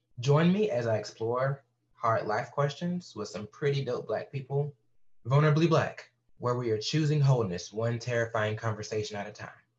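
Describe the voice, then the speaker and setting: Somewhat breathy, a man's voice comes through. He keeps a moderate pace. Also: medium pitch for a man, lively intonation. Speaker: podcast host; inclusion educator and counseling student. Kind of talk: scripted-style podcast trailer intro. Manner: candid, self-deprecating.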